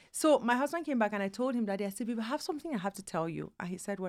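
On a very clean recording with a silent background, a woman speaks very fast at a medium pitch with lively intonation. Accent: Nigerian. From Nigeria. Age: 40s. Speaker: immigrant mother. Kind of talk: casual interview chat.

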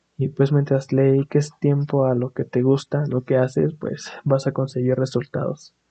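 In a Mexican accent, a man talks at a fairly slow pace with hardly any pauses, his medium-pitched, somewhat breathy voice monotone and flat. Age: 20s. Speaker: podcast host, aspiring animator. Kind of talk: casual monologue. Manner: halting, many fillers.

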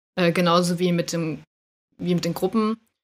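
Talking at a fairly quick pace, this woman has a fairly low pitch. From northern Germany, Schleswig-Holstein. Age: 20s. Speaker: amateur K-pop dancer. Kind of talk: casual chat.

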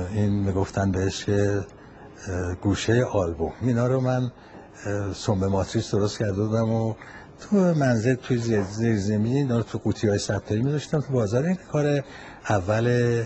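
A somewhat breathy man with a fairly low pitch speaks at a moderate pace, with ordinary pitch variation, very even loudness and long, frequent pauses. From Tehran, Iran. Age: 80s+. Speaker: retired manufacturer. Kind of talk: recorded interview answers. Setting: voice messages. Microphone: phone voice message recording.

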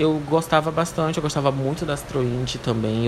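Against noticeable background noise, a man talks at a moderate pace with a fairly high pitch. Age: 20s. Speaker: podcast host. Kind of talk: casual solo Q&A monologue.

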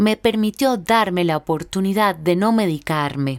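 In a very clean recording with a silent background and a dry, close sound with no echo, a woman at medium pitch talks at a moderate pace with lively intonation. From Venezuela. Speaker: podcast host and actress. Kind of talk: personal monologue.

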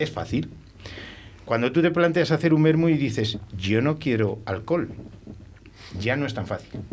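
Vocal fry, lively intonation and a fairly slow pace. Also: man. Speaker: winemaker. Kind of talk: casual chat.

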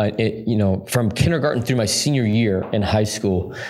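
In a plain, everyday voice, a man with an American accent speaks at a moderate pace with ordinary pitch variation. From Utah. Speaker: pastor. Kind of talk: interview.

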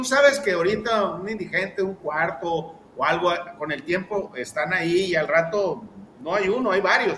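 A man talks in a high register while clear background noise runs underneath. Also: ordinary pitch variation, moderate pace. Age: 60s. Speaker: historian. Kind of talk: casual chat.

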